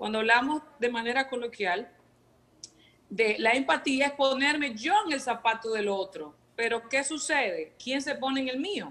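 Her pitch is high, and she is a woman speaking at a fairly slow pace. Her intonation is lively. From Venezuela. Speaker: emotional wellbeing coach. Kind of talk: TV segment talk.

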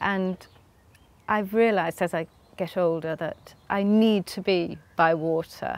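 In a dry recording with no echo, a woman speaks at a fairly slow pace with medium pitch for a woman and fairly even intonation. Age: 50s. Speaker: novelist. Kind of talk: interview. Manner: halting. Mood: warm, cheerful, often laughing. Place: garden.

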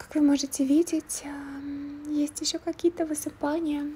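A soft-spoken woman with a high pitch and a relaxed tone, at a fairly slow pace, over noticeable background noise. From Switzerland (Russian speaker living there). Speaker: ASMR vlogger. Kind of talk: casual vlog talk to camera. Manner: quiet, soft-spoken, relaxed.

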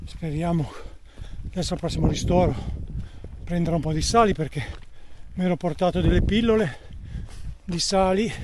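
At a fairly quick pace, a man with a high pitch and ordinary pitch variation speaks in a dry sound with no echo, over noticeable background noise. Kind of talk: casual vlog chat during race. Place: open country. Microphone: phone near.

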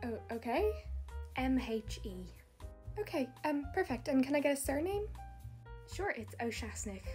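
At a medium speed, a woman talks while faint music sits behind her. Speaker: skit creator playing baker. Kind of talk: comedy skit dialogue. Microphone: phone near.

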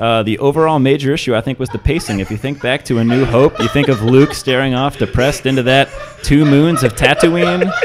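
A man with an American accent talks at a fairly quick pace. His pitch is fairly high, and light background noise can be heard. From Boston. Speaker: comedian and IT consultant. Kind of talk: panel discussion. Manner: dry, sarcastic. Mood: earnest, thoughtful. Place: home room. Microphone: studio mic.

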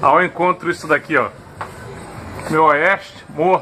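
Music plays in the background as a man speaks at a fairly slow pace. His voice is high-pitched with fairly even intonation. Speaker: amateur radio operator. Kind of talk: casual descriptive commentary. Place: street. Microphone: phone near.

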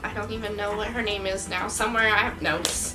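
Clear music in the background behind a fairly quick pace. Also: woman. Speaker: interviewee. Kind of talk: interview answer. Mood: earnest, recounting stress. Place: home room. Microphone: camera far.

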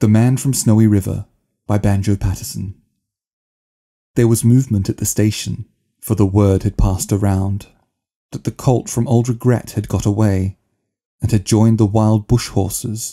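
A man speaks at a moderate pace in a somewhat breathy, dark, mellow voice, flat and monotone, with long, frequent pauses. The sound is dry and close, with no echo. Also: fairly low pitch for a man. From Australia. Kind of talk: poetry reading.

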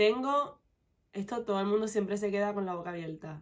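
Against a quiet background, a woman talks with a Puerto Rican accent. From Puerto Rico, west (Mayagüez); Puerto Rico. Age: 20s. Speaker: beauty vlogger. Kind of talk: casual Q&A vlog. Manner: animated. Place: home room.

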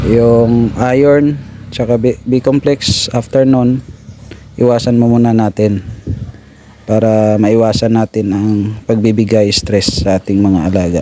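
Against noticeable background noise, a man of medium pitch talks at a fairly slow pace with fairly even intonation and very even loudness. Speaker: pig farmer and vlogger. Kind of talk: tutorial. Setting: outdoors.

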